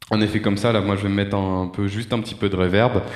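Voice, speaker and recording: A man with a fairly low pitch. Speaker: DJ and gear reviewer. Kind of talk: product demo tutorial.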